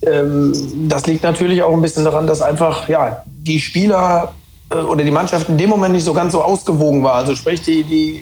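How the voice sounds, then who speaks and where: A man's intonation stays fairly even while noticeable noise fills the background. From Rhineland-Palatinate, Germany. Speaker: former footballer. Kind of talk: casual football talk. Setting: remote call.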